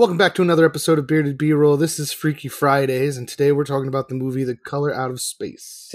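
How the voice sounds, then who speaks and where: Using a put-on character voice that sounds robotic, a man talks very fast at a fairly high pitch. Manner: robotic, flat.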